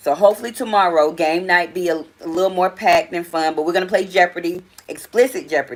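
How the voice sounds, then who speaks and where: A woman with a strong Southern US accent, a fairly low pitch, an animated tone and a very fast pace. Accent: strong Southern country. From US South. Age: 40s. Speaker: live stream host. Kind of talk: casual live stream chat. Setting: live stream.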